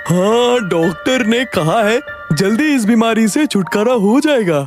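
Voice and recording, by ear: A cartoonish character voice at a fairly high pitch moves at a moderate pace over faint music in the background.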